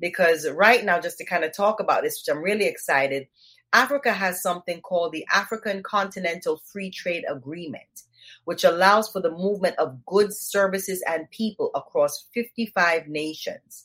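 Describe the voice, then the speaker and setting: A woman with an American accent, medium pitch, ordinary pitch variation and a moderate pace. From Jamaica. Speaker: cannabis activist. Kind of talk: interview.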